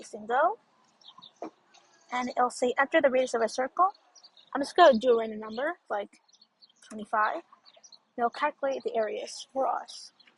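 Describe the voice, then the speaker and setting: Mumbled speech at a moderate pace, with long, frequent pauses and big swings in loudness, in a dry, close sound with no echo. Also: woman, high pitch for a woman, lively intonation. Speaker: student presenting homework. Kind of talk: tutorial. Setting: outdoors. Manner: mumbly; halting.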